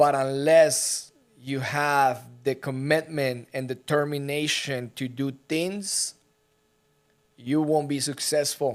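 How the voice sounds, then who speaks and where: Very slow and broken by long, frequent pauses, a man speaks with a non-native accent at a fairly high pitch. The recording is very clean, the background silent. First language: not English. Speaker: real estate brokerage executive and podcast host. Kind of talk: casual podcast conversation. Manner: animated.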